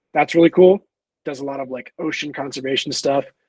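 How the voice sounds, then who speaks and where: This man has a normal speaking voice, fairly high in pitch with ordinary variation, captured in a dry, close sound with no echo. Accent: American. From US Midwest. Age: 20s. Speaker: documentary filmmaker and photographer. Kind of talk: podcast interview. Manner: casual, filler-heavy.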